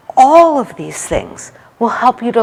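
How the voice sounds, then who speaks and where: A woman talks in an animated tone with ordinary pitch variation. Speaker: HR executive and leadership speaker. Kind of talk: conference talk. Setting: stage with audience. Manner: loud.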